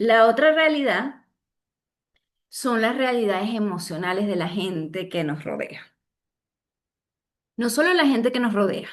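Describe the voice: A woman speaks at a fairly slow pace, with long, frequent pauses. Her pitch is fairly high and her intonation lively.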